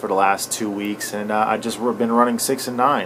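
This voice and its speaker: Noticeable background noise behind a man's voice, medium in pitch and moderate in pace. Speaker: cannabis grower tutorial youtuber. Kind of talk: tutorial. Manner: many fillers and hesitations.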